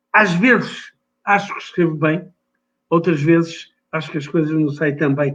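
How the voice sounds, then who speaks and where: A man talks at a moderate pace with a high pitch and ordinary pitch variation. Long, frequent pauses break up his speech. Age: 70s. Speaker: writer. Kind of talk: interview.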